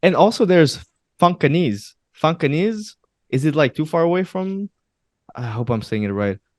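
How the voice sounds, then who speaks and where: A man with a Portuguese accent speaks at a moderate pace with long, frequent pauses and very wide pitch swings, in a dry, close sound with no echo on a very clean recording against a silent background. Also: fairly high pitch for a man. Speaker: podcast co-host. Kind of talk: casual chat.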